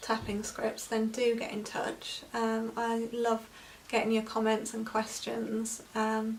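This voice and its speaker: Against noticeable background noise, a woman speaks at a fairly slow pace in a fairly high pitch. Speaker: EFT practitioner. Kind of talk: tutorial. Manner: unscripted, halting with fillers.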